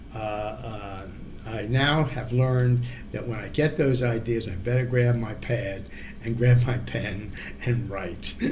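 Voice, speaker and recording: Noticeable background noise sits under a man's medium-pitched voice. He talks at a very slow pace. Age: 80s+. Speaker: retired writer on healthcare economics. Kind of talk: interview answer. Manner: hesitant, many fillers.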